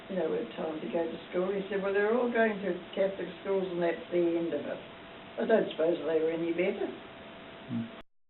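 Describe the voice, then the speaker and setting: The speaker talks at a fairly quick pace with a New Zealand accent. Noticeable background noise is present. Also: woman, medium pitch for a woman, ordinary pitch variation. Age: 80s+. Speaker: school alumna. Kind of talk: interview answer.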